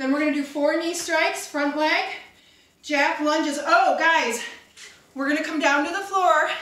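In a raised, projected voice, a woman speaks at a fairly slow pace amid light background noise and audible room echo. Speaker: fitness instructor. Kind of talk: workout class cueing. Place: empty room.

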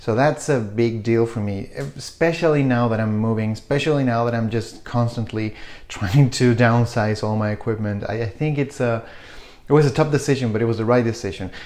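At a fairly quick pace, a man speaks in a Spanish accent with ordinary pitch variation. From Chile. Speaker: photography YouTuber. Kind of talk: casual vlog talk to camera. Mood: reflective, relaxed. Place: kitchen.

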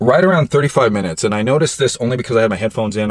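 In a dry recording with no echo and a quiet background, a man talks at a fairly low pitch. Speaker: supplement reviewer. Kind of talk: casual product review vlog. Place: car. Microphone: phone near.

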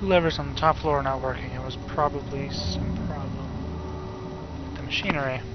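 Man's voice at a moderate pace, with audible room echo and noticeable background noise. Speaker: gaming video creator. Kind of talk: let's play commentary.

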